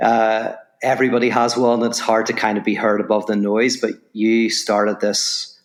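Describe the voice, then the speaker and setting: A man talks at medium pitch with an Irish accent. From Ireland. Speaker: philosopher and author. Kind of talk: podcast interview.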